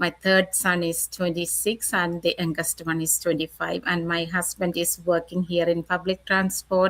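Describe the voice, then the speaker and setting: A woman talks at a moderate pace with hardly any pauses. Her intonation is monotone and flat. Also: fairly low pitch for a woman. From Kerala, India. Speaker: registered nurse and business coach. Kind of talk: interview. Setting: video call.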